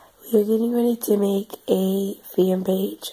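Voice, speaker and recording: An American accent comes through. The background carries noticeable noise. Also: woman. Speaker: vlogger. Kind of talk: casual vlog talk. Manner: hesitant, many fillers.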